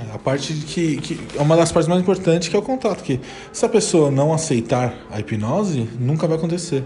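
Lively intonation and a fairly high pitch come from a male speaker, with noticeable background noise in the recording. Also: fairly quick pace. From São Paulo, Brazil. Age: 20s. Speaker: podcast host, hypnosis student. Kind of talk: casual educational chat.

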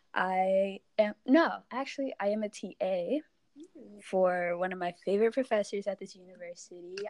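A woman uses a normal speaking voice at medium pitch and a moderate pace, with ordinary pitch variation. Her loudness swings widely, in a dry, close sound with no echo. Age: 20s. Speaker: podcast guest, university teaching assistant. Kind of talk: casual chat.

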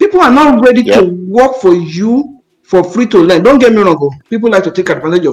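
A man with a Nigerian accent, high-pitched and lively in intonation, at a fairly quick pace with hardly any pauses and big swings in loudness. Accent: Nigerian (Yoruba) English. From Nigeria, Ondo State. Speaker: realtor. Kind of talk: panel discussion.

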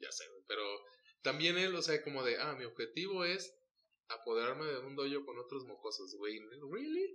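Moderate pacing broken by long, frequent pauses. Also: man. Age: 30s. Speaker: podcast host. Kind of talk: casual chat.

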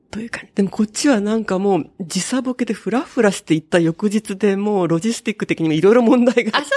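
At a very fast pace, a woman speaks at a medium pitch with ordinary pitch variation, the sound dry and close with no echo. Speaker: butoh dancer and software developer. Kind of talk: interview. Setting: at home.

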